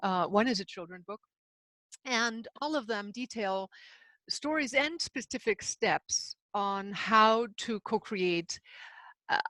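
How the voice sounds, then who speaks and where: In a German accent, a woman with a fairly high pitch and a bright, sharp tone speaks at a very slow pace with long, frequent pauses and ordinary pitch variation, the sound dry and close with no echo on a very clean recording with a silent background. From Himalayas and Germany. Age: 60s. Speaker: spiritual author and seminar leader. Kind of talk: interview.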